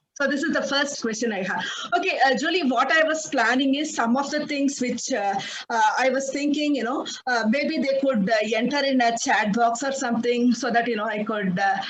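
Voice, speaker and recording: A woman speaks in a high pitch with ordinary variation, at a moderate pace. The recording has audible room echo and noticeable background noise. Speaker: project management speaker. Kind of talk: presentation. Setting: video call. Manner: loud; halting.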